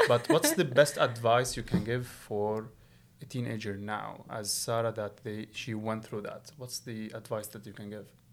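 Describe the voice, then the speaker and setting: At a moderate pace, a man with an ordinary speaking voice talks at a medium pitch, his intonation fairly even but his loudness swinging widely. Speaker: podcast host. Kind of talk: casual interview chat.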